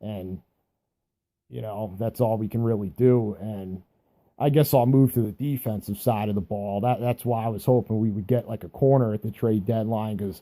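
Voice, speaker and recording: A man with an American accent talks at a moderate pace in a fairly low, dark, mellow tone with fairly even intonation, on a very clean recording with a silent background. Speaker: sports fan vlogger. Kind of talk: casual sports monologue. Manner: halting, stuttering; casual, hesitant.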